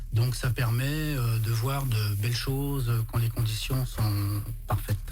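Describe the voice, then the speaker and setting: Speech comes at a very slow pace, with very even loudness and fairly even intonation. Audible room echo and noticeable background noise fill the recording. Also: man, medium pitch for a man. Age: 60s. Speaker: amateur astronomer. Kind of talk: radio interview.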